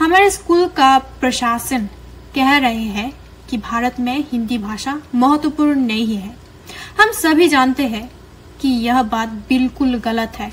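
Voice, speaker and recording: Noticeable background noise accompanies a woman speaking in a high pitch with lively intonation. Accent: Korean. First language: Korean (speaking Hindi). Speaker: university student of Hindi. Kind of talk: video appeal.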